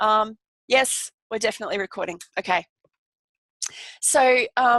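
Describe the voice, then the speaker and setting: Recorded in a dry, close sound with no echo against a quiet background, a woman speaks with an Australian accent in a fairly high pitch. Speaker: holistic nurse and wellness coach. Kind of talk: online workshop presentation. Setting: live video webinar. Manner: fast; animated.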